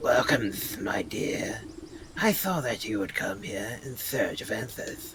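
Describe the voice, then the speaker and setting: Put-on character voice from a man, medium in pitch, fairly slow in pace. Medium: game stream. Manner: smooth, theatrical, enticing.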